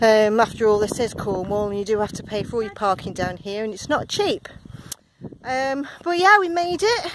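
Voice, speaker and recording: Over noticeable background noise, a woman with a fairly high voice speaks at a moderate pace, her pitch swinging very widely. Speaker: vlogger. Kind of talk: travel vlog narration. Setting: outdoors by the sea, wind noise. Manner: animated.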